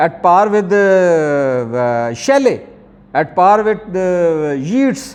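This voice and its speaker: A man's lively intonation with a Pakistani accent. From Pakistan, Lahore. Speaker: professor. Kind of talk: lecture. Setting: classroom with students. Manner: halting, with many fillers.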